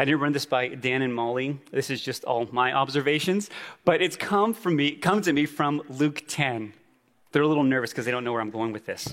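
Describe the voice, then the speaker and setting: A man with an American accent and a normal speaking voice talks at a fairly high pitch. His pace is fairly quick, with ordinary pitch variation. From Navajo reservation, Arizona (Tuba City area). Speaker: church planter. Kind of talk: conference talk. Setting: stage with audience.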